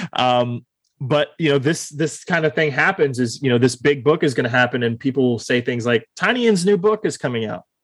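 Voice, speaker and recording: A man with an American accent and an ordinary speaking voice talks at a moderate pace and fairly high pitch, with lively intonation. The sound is dry and close, with no echo. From Texas (Austin). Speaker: podcast host. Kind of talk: casual interview.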